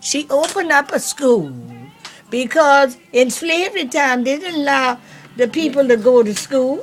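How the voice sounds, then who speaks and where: Music plays in the background as a woman with an American accent speaks at a fairly slow pace. Her intonation is lively. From US South, Savannah, Georgia. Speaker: elderly family member recounting history. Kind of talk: casual family chat. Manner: halting.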